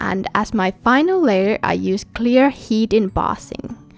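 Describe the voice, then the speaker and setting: Over music in the background, a woman with a fairly high pitch and lively intonation comes through with a dry, close sound and no echo. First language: Finnish. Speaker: card-making crafter, stamp designer. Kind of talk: tutorial. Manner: scripted voiceover narration.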